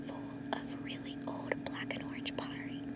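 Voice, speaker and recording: Over noticeable background noise, a woman whispers fairly slowly. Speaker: ASMR reader. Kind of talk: ASMR book reading. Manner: whispered.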